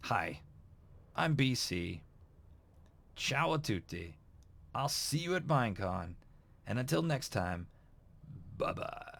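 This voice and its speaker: Over a silent background in a very clean recording, a man with vocal fry speaks very slowly at a medium pitch, his voice making very wide pitch swings. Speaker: YouTuber, Minecraft channel host. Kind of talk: casual Q&A vlog. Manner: casual, filler-heavy with repetitions.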